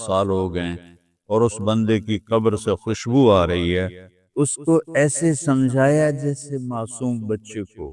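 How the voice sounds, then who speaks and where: Recorded very cleanly against a silent background with a dry, close sound and no echo, a man has a plain, everyday voice at medium pitch with ordinary pitch variation. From Pakistan. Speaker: Islamic scholar. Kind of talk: religious lecture.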